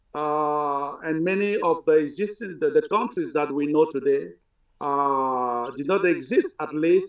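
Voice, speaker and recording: A man with a Cameroonian accent, fairly high in pitch, at a fairly slow pace. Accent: Cameroonian francophone English. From Cameroon, central region (Basaa-speaking village). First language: Basaa (then French). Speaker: linguistics professor. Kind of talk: interview. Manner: halting, many fillers and repetitions.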